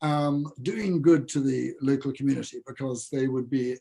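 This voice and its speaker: In an English accent, a man speaks with a fairly high pitch and a dark, mellow, somewhat breathy tone. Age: 70s. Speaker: food company founder. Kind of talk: interview. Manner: halting.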